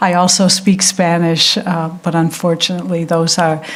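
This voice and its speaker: A woman with an American accent speaks at a moderate pace. There is noticeable background noise and audible room echo. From United States. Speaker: architecture prize director, lecturer. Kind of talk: lecture. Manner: hesitant, many fillers.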